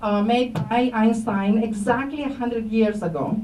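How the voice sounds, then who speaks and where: A woman with a high pitch speaks at a moderate pace amid audible room echo and noticeable background noise. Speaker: astrophysics professor. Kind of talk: public lecture. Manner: hesitant, many fillers.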